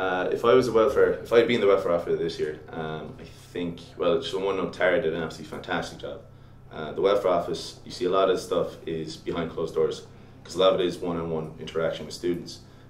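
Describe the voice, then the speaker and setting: A man with a Limerick accent at a very fast pace, with audible room echo and noticeable background noise. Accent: Irish (Limerick). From Ireland, Limerick. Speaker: student election candidate. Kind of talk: interview. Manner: halting, many fillers.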